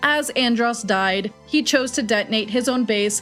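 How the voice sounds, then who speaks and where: Backed by music, a woman speaks in a fairly high pitch with lively intonation. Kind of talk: lore explainer narration. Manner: fast in places.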